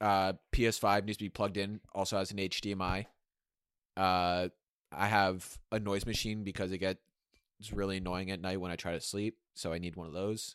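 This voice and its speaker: A man speaks at a moderate pace in a very deep, low voice with monotone, flat intonation and a deadpan tone. The recording is very clean with a silent background and a dry, close sound with no echo. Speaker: guest, student. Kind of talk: casual chat. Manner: deadpan, joking.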